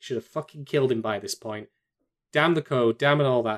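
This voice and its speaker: Here a man talks at a fairly high pitch with ordinary pitch variation. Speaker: podcast co-host. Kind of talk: casual banter. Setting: video recording, drinking. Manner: joking, animated.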